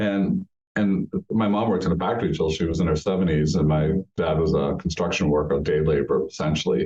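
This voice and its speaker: Speaking in a New England accent, a man keeps a very deep, low pitch and very even loudness at a fairly quick pace. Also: ordinary pitch variation. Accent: New England American. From Eastern Canada, French-speaking, raised in Massachusetts. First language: French. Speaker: university president. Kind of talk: podcast interview.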